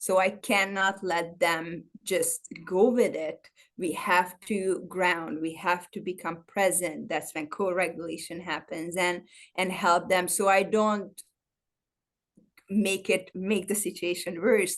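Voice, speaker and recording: With a non-native accent, the speaker talks at a very slow pace in a monotone, flat intonation. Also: woman, medium pitch for a woman. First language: not English. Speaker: trauma-informed personal trainer. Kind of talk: interview. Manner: halting.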